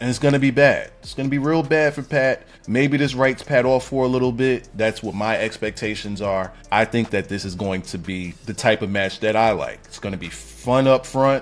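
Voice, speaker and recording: Noticeable background noise sits under this man's medium-pitched voice. His loudness swings widely. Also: ordinary pitch variation, moderate pace, hardly any pauses. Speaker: wrestling commentator YouTuber. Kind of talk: casual commentary monologue. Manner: animated.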